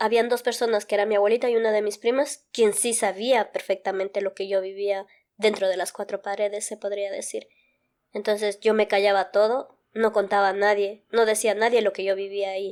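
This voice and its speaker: A woman's medium-pitched, monotone, flat voice at a fairly quick pace, on a very clean recording with a silent background. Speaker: migrant mother. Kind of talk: interview answer.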